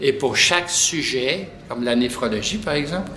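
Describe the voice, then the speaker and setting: Speaking fairly slowly in a Quebec accent, the voice carries lively intonation. Noticeable background noise and audible room echo fill the recording. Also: man. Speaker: pediatric nephrologist. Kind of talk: interview. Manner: soft-spoken.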